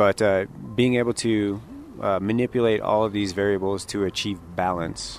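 Here is a man with an ordinary speaking voice, fairly low in pitch. He talks at a moderate pace with fairly even intonation. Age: 30s. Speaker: coffee shop owner. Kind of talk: interview. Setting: coffee shop.

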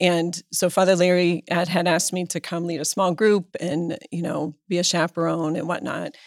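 A woman with an American accent speaks in an unremarkable speaking voice, fairly low in pitch, at a moderate pace with fairly even intonation and hardly any pauses. The sound is dry and close with no echo, and the recording is very clean with a silent background. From Pennsylvania, US (Erie). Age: 50s. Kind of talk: interview conversation.

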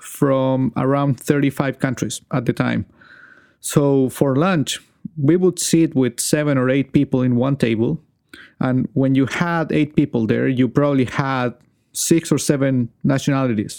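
A man speaks with a Chilean accent at a fairly slow pace. The sound is dry and close with no echo, and his intonation stays fairly even. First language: Spanish. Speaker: podcast host. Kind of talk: interview.

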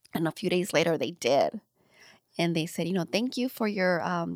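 In a very clean recording with a silent background and a dry, close sound with no echo, a woman speaks in a fairly low pitch with ordinary pitch variation. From US, Los Angeles County (Lynwood). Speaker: radio personality and children's book publisher. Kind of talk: casual interview. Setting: studio.

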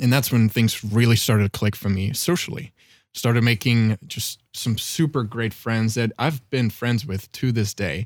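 With a German accent, a man speaks at medium pitch and a moderate pace with ordinary pitch variation, the sound dry and close with no echo. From Germany. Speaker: consultant. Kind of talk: personal testimony. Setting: studio. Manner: articulate.

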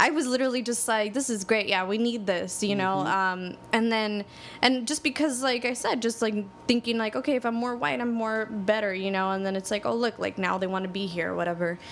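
A fairly high-pitched woman with an American accent, fairly quick and with hardly any pauses, her pitch varying in an ordinary way. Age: 20s. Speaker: podcast host. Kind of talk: casual interview chat. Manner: animated, laughs often.

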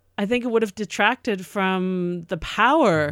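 In a normal speaking voice, a woman with an American accent talks at a moderate pace with lively intonation, in a very clean recording with a silent background and a dry, close sound with no echo. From not New York City. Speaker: podcast co-host. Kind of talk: casual discussion.

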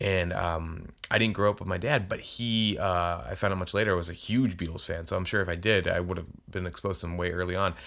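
The talking runs at a very fast pace, in an American accent with fairly even intonation. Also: man, very deep, low pitch for a man. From Arizona, US (Tucson). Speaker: podcast host and author. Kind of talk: solo monologue podcast. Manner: casual, halting with many repetitions.

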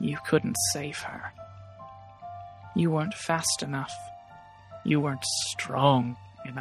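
The put-on character voice sits at a low-to-middle pitch and moves at a fairly slow pace. Clear music plays behind it. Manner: taunting, seductive.

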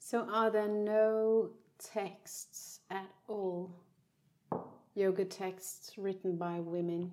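Speaking at a very slow pace, a woman with a Danish accent has a medium pitch and a dark, mellow tone. Her intonation is monotone and flat. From Denmark. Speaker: podcast host and yoga teacher. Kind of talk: casual chat. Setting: in the same room as the guest.

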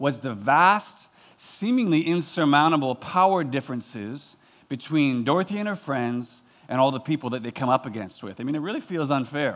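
Lively intonation marks a man's fairly high-pitched voice against a quiet background. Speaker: pastor. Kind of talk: sermon. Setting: church. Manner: fast.

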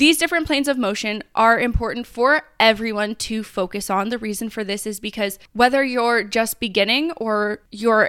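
This woman has a normal speaking voice, fairly high in pitch with ordinary pitch variation. She talks at a fairly quick pace in a very clean recording with a silent background. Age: 20s. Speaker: personal trainer and podcast host. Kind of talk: solo podcast talk. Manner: casual, chatty.

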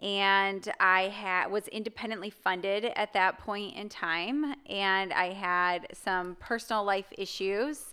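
On a very clean recording with a silent background, a voice with an American accent speaks at a very slow pace with hardly any pauses, in a bright, sharp tone with fairly even intonation. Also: woman, medium pitch for a woman. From US Midwest, Chicago area. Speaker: psychology professor. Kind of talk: casual interview.

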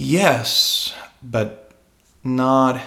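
A man's bright, sharp voice with lively intonation and audible room echo. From Spain. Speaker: singer-songwriter. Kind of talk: casual chat.

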